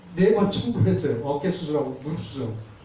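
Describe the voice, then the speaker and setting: Fairly quick speech from a man, noticeable background noise and audible room echo around it. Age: 60s. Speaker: seminar lecturer on insurance. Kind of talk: lecture. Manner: conversational.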